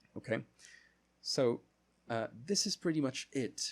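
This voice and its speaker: A man with a Portuguese accent speaks at a moderate pace. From Brazil. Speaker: English teacher. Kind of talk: online lesson. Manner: halting, self-correcting.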